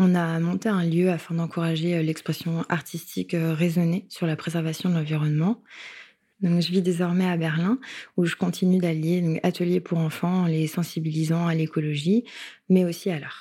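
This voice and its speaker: A woman speaks at a moderate pace in a monotone, with flat intonation. Her tone is dark and mellow, and the recording is very clean with a silent background. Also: fairly low pitch for a woman. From Paris suburbs, France. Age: 20s. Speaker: illustrator and activist. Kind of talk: interview testimony.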